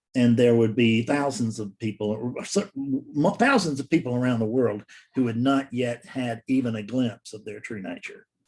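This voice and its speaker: A man speaks at a medium pitch with ordinary pitch variation. His loudness swings widely, and he hardly pauses. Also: moderate pace. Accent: Southern US. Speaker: spiritual teacher. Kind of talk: solo talk to camera. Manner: halting.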